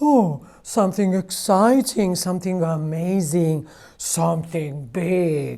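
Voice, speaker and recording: Lively intonation runs through a put-on character voice delivered at a fairly slow pace. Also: woman, fairly low pitch for a woman. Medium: read story.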